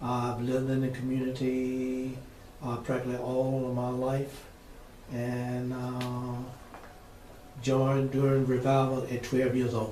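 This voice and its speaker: At a fairly slow pace with long, frequent pauses, a man speaks at a medium pitch in a monotone, flat intonation, with noticeable background noise and audible room echo. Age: 70s. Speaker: retired church member. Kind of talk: oral history interview. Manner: halting.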